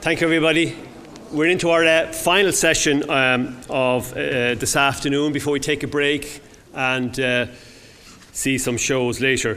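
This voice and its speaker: Against noticeable background noise, a man with an Irish accent speaks at a moderate pace and fairly high pitch, with fairly even intonation and very even loudness. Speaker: event host. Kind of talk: introduction speech. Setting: stage with audience.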